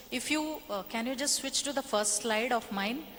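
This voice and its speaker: Speaking with a Kannada accent, a woman has a high pitch and ordinary pitch variation. Her pace is fairly slow. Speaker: workshop trainer, edtech founder. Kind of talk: workshop presentation.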